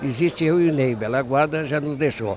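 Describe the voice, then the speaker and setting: With crowd noise in the background and audible room echo, a man speaks at a fairly high pitch with ordinary pitch variation. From southern Brazil, Rio Grande do Sul countryside (Caçapava/Bagé). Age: 80s+. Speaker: elder traditionalist leader, movement patron. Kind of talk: interview.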